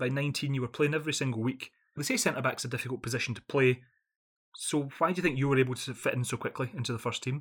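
A very clean recording with a silent background captures a man of medium pitch speaking very fast with fairly even intonation. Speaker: podcast host. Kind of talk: interview.

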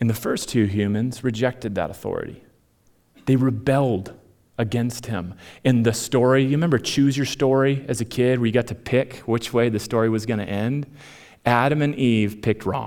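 This man has a normal speaking voice, medium in pitch, with an American accent and fairly even intonation. He speaks at a moderate pace in a very clean recording with a silent background. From Minnesota. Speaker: pastor. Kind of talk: sermon. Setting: church stage with audience.

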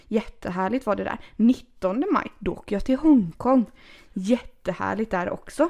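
A woman with a fairly high pitch and vocal fry speaks at a moderate pace with lively intonation. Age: 30s. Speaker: podcast host. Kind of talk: casual chat.

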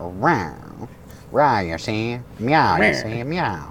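This put-on character voice is low-pitched and very slow. Background noise is clearly heard. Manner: tough, mocking.

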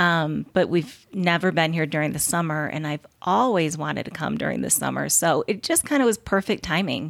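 Speaking at a moderate pace with an American accent, a woman shows vocal fry, a fairly low pitch, and ordinary pitch variation. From Michigan. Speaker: conference attendee, family member in recovery. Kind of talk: casual interview.

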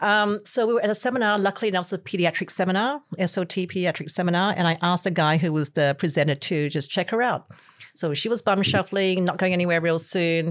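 Speaking at a very fast pace, a woman with a medium pitch keeps her loudness very even and her pitch variation ordinary. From Malaysia. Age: 60s. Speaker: chiropractor. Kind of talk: casual chat.

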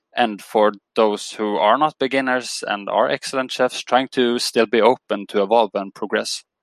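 Dry and close with no echo in a very clean recording with a silent background, a man with a plain, everyday voice speaks at medium pitch and a moderate pace with fairly even intonation. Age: 20s. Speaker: sports psychology consultant. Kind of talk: interview.

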